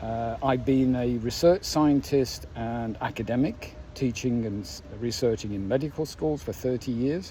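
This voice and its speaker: A man's dark, mellow tone with lively intonation. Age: 60s. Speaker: writer and former research scientist. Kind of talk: personal introduction monologue. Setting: home studio.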